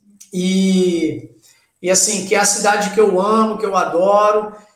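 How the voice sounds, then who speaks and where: A man with a high pitch talks at a fairly slow pace, his intonation fairly even. Audible room echo surrounds him. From Brazil, Santos area (São Paulo coast). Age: 40s. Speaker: taekwondo master. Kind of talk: casual chat.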